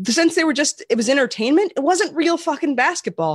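With an American accent, a woman's voice swings very widely in pitch over a quiet background. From US Pacific Northwest (Portland). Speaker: podcast co-host. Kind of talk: casual chat. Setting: at home, remote recording.

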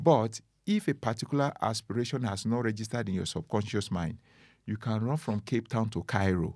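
A man with an African accent, medium pitch, ordinary pitch variation and a fairly quick pace, on a very clean recording with a silent background. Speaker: motivational speaker. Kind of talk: casual interview conversation. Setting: studio. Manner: soft-spoken.

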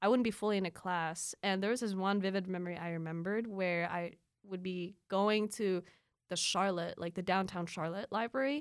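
A woman with a Filipino accent speaks at a fairly quick pace and medium pitch, with ordinary pitch variation, in a very clean recording with a silent background. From Philippines. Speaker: student and polyglot. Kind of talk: casual interview chat. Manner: animated, laughs often.

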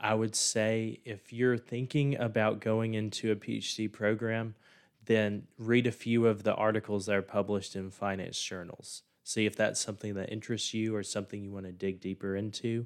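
With a Mississippi accent, a man with a fairly low pitch speaks at a moderate pace in a monotone, flat delivery, recorded very cleanly against a silent background. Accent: Southern US (Mississippi). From US South, rural southern Mississippi near Laurel. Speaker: finance professor. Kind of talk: interview.

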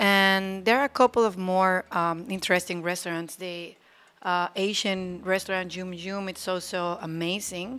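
A woman speaks in a Spanish accent. Her pitch is medium and her pace is moderate. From Mexico (Aguascalientes). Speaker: attorney. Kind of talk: casual interview. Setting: studio.

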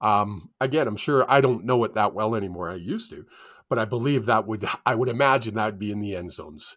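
Speaking very fast in a Western Canadian accent, a man with a medium pitch sounds animated, his loudness swinging widely while his pitch varies in an ordinary way, on a very clean recording with a silent background. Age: 50s. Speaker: sports podcast co-host. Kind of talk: casual chat. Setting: studio.

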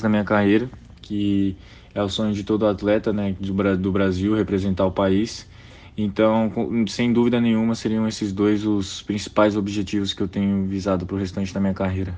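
At a moderate pace, a man speaks with fairly low pitch and monotone, flat intonation. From Brazil, Brasília. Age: 20s. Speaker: professional basketball player. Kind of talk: casual interview.

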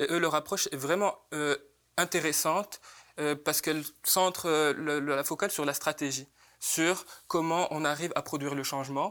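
A man with a fairly high pitch and a bright, sharp tone speaks at a moderate pace with fairly even intonation. He takes long, frequent pauses on a very clean recording with a silent background. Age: 20s. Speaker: student activist. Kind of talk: panel discussion. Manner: halting.

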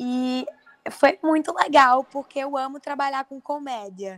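The voice belongs to a woman. The sound is dry and close, with no echo. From Paraíba, Northeast Brazil. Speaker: actress. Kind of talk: interview.

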